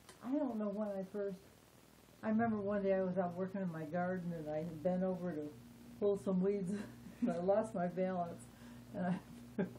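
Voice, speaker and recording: In a room with audible echo, a woman speaks at a moderate pace in a medium-pitched, somewhat breathy, dark and mellow voice, leaving long, frequent pauses. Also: ordinary pitch variation. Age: 70s. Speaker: interviewee with Parkinson's disease. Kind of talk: interview. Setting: at her home.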